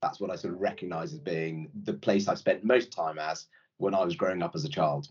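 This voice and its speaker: Fairly low in pitch, a man speaks at a fairly quick pace with very wide pitch swings. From Yorkshire, northern England (born in India). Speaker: private equity executive. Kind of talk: casual interview.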